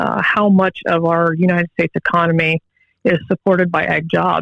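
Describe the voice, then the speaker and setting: This woman speaks with a Midwestern American accent at a moderate pace. Her recording sounds dry and close, without any echo. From Northwest Ohio, Allen County. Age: young. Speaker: agricultural business owner. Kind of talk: radio interview.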